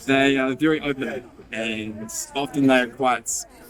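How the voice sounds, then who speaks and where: A man with a New Zealand accent, fairly even intonation and a fairly slow pace, over noticeable background noise. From New Zealand, small town in the South Island. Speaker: interviewee in a short film. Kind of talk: interview monologue.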